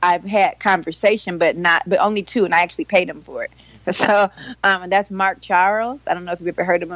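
Using a medium pitch and fairly even intonation, a woman with an American accent speaks at a fairly quick pace. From Cleveland, Ohio. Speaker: therapist. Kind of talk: casual interview.

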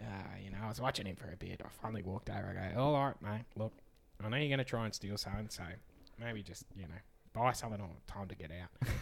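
A man's raspy put-on character voice, fairly low in pitch, very fast, with big swings in loudness. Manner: suspicious, confrontational.

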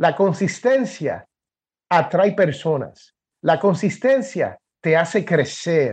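A man talks with a Puerto Rican accent and lively intonation. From Puerto Rico. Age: 50s. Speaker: podcaster and author. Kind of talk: interview.

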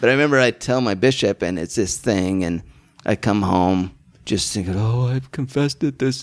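A man with an American accent uses an ordinary speaking voice at a fairly low pitch and a moderate pace. His pitch variation is ordinary, and the recording is very clean with a silent background. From Utah. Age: 50s. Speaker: comedian. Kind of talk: casual chat.

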